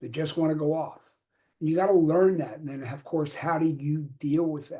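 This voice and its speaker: With a Philadelphia accent, a man with a fairly high pitch and a dark, mellow tone talks at a moderate pace with fairly even intonation and big swings in loudness. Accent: Philadelphia American. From Philadelphia, US. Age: 70s. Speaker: communication coach. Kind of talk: live stream talk. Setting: live video stream. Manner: casual, street-talk style; halting, many repetitions.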